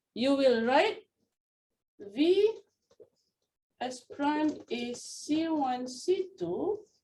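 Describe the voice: Speaking at a very slow pace, a woman has a high pitch and a slightly mellow tone. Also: lively intonation.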